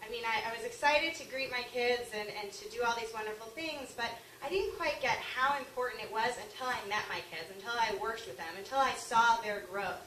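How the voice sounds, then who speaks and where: A woman with an American accent talks at a fairly quick pace and a fairly high pitch, her loudness swinging widely and her intonation lively, with hardly any pauses, audible room echo and noticeable background noise. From Long Island, New York. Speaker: author and early childhood teacher. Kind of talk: speech. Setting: luncheon talk with audience and microphone.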